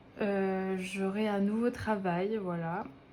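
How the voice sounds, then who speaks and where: Amid audible room echo, a woman speaks very slowly in a monotone, with flat intonation. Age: 20s. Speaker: budgeting vlogger. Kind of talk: casual vlog monologue. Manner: hesitant, many filler words.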